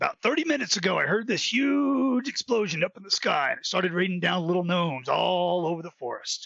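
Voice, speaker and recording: Using a put-on character voice, a man rattles off lines at a very fast pace and high pitch. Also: hardly any pauses. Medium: audio drama. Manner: chatty, joking.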